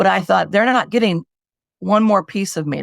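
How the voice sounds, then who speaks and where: Vocal fry marks this woman's voice. The recording is very clean with a silent background and a dry, close sound with no echo. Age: 70s. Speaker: homicide survivor advocate. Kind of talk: interview testimony.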